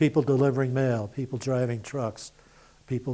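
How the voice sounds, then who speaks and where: A man talks at a fairly quick pace in a dark, mellow tone with monotone, flat intonation. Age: 80s+. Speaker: war veteran. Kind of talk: oral history interview. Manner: conversational, with fillers.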